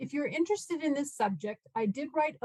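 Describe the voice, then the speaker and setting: Somewhat breathy and fairly quick, a woman with an American accent is heard in a dry, close sound with no echo. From California, US. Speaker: law professor and arbitrator. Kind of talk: conference lecture. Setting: video call.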